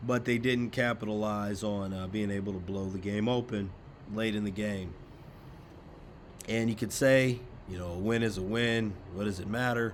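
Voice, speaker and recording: A man's fairly low voice at a moderate pace, fairly even in intonation, with long, frequent pauses and audible room echo. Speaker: sports news YouTuber. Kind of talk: casual commentary monologue. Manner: many fillers (uh, um).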